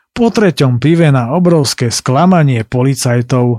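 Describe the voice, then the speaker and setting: A plain, everyday voice from a man of medium pitch, fairly slow and lively in intonation, in a dry, close sound with no echo on a very clean recording with a silent background. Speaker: podcast host and travel narrator. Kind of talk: scripted narration.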